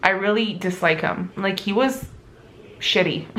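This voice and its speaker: Amid noticeable background noise and audible room echo, a woman speaks fairly slowly with lively intonation. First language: not English. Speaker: book vlogger and illustrator. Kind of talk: reading vlog to camera. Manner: casual, conversational.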